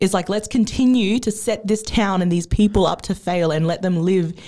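On a very clean recording with a silent background, a woman with an Australian accent speaks in a dark, mellow tone, fairly low in pitch, at a moderate pace with ordinary pitch variation. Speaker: podcast host. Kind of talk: casual chat.

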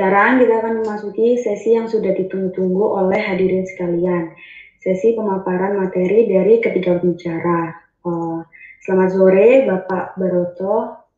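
With fairly even intonation and a medium pitch, a woman talks at a moderate pace in a plain, everyday voice. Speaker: student event MC. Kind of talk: formal event hosting. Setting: video call. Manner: formal.

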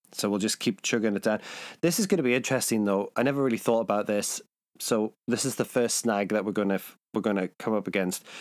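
On a very clean recording with a silent background, a man with a fairly low pitch talks at a very fast pace with ordinary pitch variation and very even loudness, the sound dry and close with no echo. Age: 40s. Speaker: film podcast host. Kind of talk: casual chat. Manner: hesitant, many fillers.

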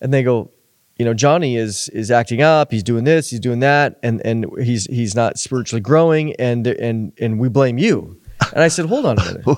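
A moderately paced man with an ordinary speaking voice, medium in pitch and ordinary in pitch variation. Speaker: podcast host. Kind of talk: interview discussion. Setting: studio.

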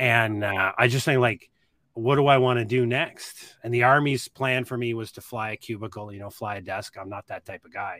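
A man with a Nova Scotia accent speaks in a bright, sharp tone with big swings in loudness. The sound is dry and close with no echo, on a very clean recording with a silent background. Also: medium pitch for a man, moderate pace. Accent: Nova Scotia Canadian English. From Nova Scotia, Canada. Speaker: army veteran and preparedness educator. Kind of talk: podcast interview.

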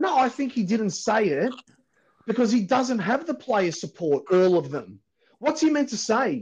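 Here a man talks in a strong Australian accent at a moderate pace. His pitch is high and swings very widely. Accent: broad Australian. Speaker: podcast host and football fan. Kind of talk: heated debate. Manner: loud, swearing, fired-up and blunt.

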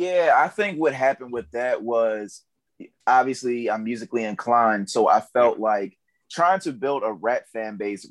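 The recording is very clean with a silent background, and a man with an unremarkable speaking voice talks in an American accent. His medium-pitched delivery has lively intonation and a moderate pace. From Baltimore, Maryland. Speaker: content creator and rapper. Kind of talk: casual chat.

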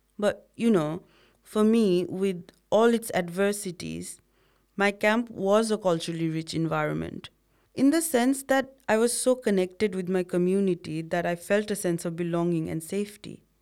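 With a Nepali accent, a woman speaks at a medium pitch. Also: ordinary pitch variation, moderate pace. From Bhutanese refugee camps in Nepal. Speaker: podcast co-host. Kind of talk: casual scripted conversation. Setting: studio.

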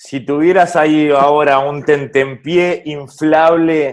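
Ordinary pitch variation in a Rioplatense accent. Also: man. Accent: Argentine Spanish (rioplatense). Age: 40s. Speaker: podcast host. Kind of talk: interview.

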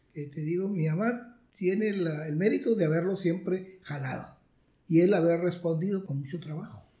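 Audible room echo surrounds a man whose high pitch comes with a dark, mellow tone. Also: ordinary pitch variation, moderate pace. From Mexico, Monterrey area (Nuevo León). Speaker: retired math professor. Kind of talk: interview, life story.

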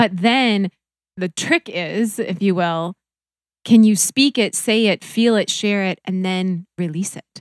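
A woman with an American accent has a plain, everyday voice at medium pitch with ordinary pitch variation, sounding dry and close with no echo in a very clean recording with a silent background. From US Upper Midwest, North Dakota. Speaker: reiki practitioner. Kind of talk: casual chat.

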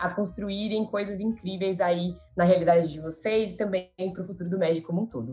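Speaking at a fairly quick pace, a woman has a dark, mellow tone that is somewhat breathy, with fairly even intonation. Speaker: marketing professional, former junior enterprise president. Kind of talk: podcast interview.

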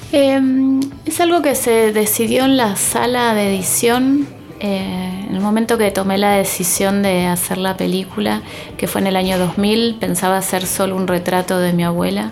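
A woman speaks at a fairly slow pace with music playing in the background. Audible room echo surrounds her voice. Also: medium pitch for a woman, ordinary pitch variation. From Argentina. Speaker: documentary filmmaker. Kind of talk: interview. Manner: hesitant, many fillers.

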